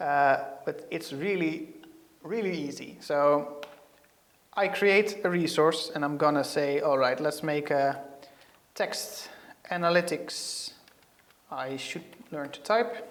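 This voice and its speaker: Speaking at a very slow pace with long, frequent pauses, a man with a slight Dutch accent uses a fairly high pitch and ordinary pitch variation. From Netherlands. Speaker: software developer; presenter. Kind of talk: tech tutorial. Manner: hesitant, many fillers. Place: studio. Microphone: lapel.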